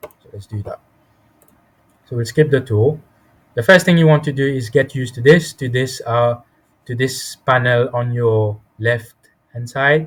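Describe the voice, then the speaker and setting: A man's somewhat breathy voice at medium pitch, fairly slow, with long, frequent pauses, ordinary pitch variation and big swings in loudness. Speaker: software tutorial instructor. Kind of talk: tutorial.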